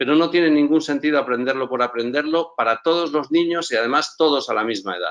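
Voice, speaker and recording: The man's speech comes at a fairly quick pace. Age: 60s. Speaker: entrepreneur and school co-founder. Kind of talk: conference talk. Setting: live event stage. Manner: hesitant repetitions.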